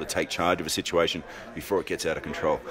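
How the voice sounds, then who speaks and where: A man's voice against noticeable background noise. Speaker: anti-poaching leader, ex-special forces; interviewee. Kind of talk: interview. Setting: film festival, busy venue. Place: home room. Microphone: handheld.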